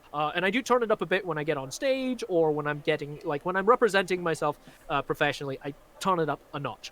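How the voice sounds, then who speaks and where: A man with an American accent talks at a very fast pace with lively intonation. The sound is dry and close, with no echo. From Scotland, Glasgow. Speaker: magician. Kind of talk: casual chat. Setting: live stream.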